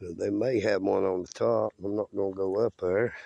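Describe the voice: A man speaks with low pitch and a dark, mellow tone. There is vocal fry, and the intonation stays fairly even. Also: dry, close sound with no echo.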